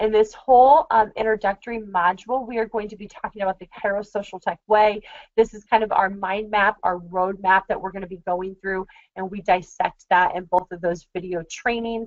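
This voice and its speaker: An unremarkable speaking voice from a woman at a medium pitch and moderate pace, with fairly even intonation and big swings in loudness. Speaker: marketing consultant. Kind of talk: webinar. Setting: screen-share webinar.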